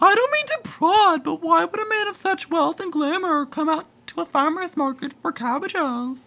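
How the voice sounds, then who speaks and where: Using a put-on character voice, a woman speaks at an extremely high pitch with lively intonation. She keeps a moderate pace with hardly any pauses. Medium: read story. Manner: meek.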